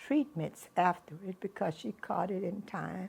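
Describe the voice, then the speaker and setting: A woman with a Texas accent talks at a fairly slow pace. Her pitch is medium, with ordinary variation. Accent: Southern US (Texas). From Houston, Texas. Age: 80s+. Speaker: grandmother. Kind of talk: interview answer.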